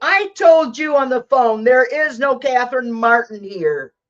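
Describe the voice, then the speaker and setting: Lively and high-pitched, a woman's voice moves at a moderate pace. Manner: snippy.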